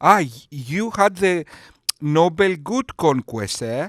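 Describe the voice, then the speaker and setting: In a Greek accent, a man with a high pitch swings very widely in pitch, in a dry, close sound with no echo. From Greece. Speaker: YouTube commentator. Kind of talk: sarcastic commentary.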